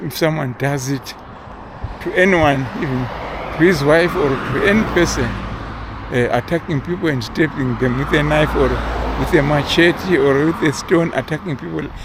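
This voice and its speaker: The speaker is a man talking at a moderate pace. Background noise is noticeable. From Zimbabwe. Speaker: vlogger. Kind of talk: casual monologue. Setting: outdoors, walking. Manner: halting, many repeated words and fillers.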